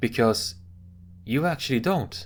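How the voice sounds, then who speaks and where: In a Swedish accent, a man with medium pitch and lively intonation speaks at a fairly slow pace on a very clean recording with a silent background. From Sweden. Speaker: commentary video host. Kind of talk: monologue commentary. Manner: casual.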